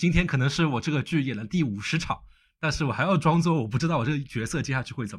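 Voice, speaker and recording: A man speaks very fast in a somewhat breathy, fairly high voice, his loudness swinging greatly. The recording is very clean with a silent background. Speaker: podcast host. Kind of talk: interview chat.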